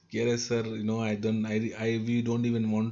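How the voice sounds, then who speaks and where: Audible room echo colors a man speaking at a moderate pace, with a fairly low pitch and a North Indian accent. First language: Hindi. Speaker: trainer. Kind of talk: lecture.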